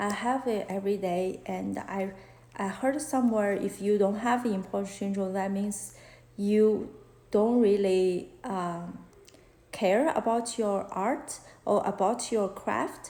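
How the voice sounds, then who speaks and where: With a Chinese accent, a woman of medium pitch speaks very slowly in a dark, mellow tone with fairly even intonation, and audible room echo surrounds her. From China. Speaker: fashion illustrator and art teacher; art teacher. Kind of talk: live-stream Q&A chat. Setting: Instagram live stream. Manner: halting, many fillers. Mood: open, reflective, a bit shy. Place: home room. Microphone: phone near.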